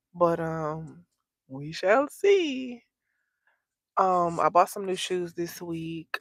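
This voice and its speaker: With an American accent, a woman speaks at a fairly low pitch in a dry, close sound with no echo. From Texas. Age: 30s. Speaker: content creator. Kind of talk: livestream chat. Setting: in a car.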